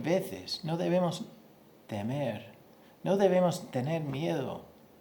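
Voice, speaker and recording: In audible room echo, a man with a non-native accent talks at a very slow pace, his pitch swinging very widely. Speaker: pastor. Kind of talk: sermon. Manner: halting, repeats words.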